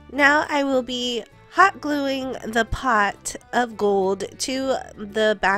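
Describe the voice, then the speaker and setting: Music plays in the background as a woman speaks with lively intonation at a fairly high pitch. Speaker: DIY crafter. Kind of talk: craft tutorial narration.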